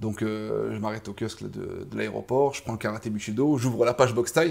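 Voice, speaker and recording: Speaking at a fairly quick pace, the man's loudness swings widely. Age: 30s. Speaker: kickboxing coach and former fighter. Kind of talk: casual interview. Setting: boxing gym. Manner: animated.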